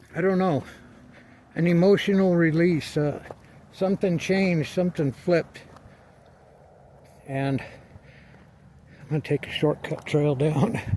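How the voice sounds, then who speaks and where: A man with a high voice talks at a fairly slow pace, with ordinary pitch variation, big swings in loudness, and long, frequent pauses. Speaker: video blogger. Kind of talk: casual vlog while playing disc golf outdoors. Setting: outdoors. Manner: quiet, calm.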